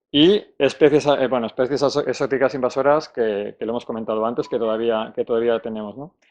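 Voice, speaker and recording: Speaking at a very fast pace with hardly any pauses, a man keeps a medium pitch and ordinary pitch variation. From Spain, Salamanca. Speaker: conservation speaker at a technical conference. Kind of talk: conference talk. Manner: halting, many false starts and fillers.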